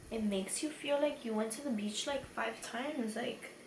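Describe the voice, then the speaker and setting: Against noticeable background noise and audible room echo, a woman with a high pitch speaks at a fairly slow pace with ordinary pitch variation. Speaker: beauty youtuber. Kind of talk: makeup tutorial. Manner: rambling, slurring drunk chatter.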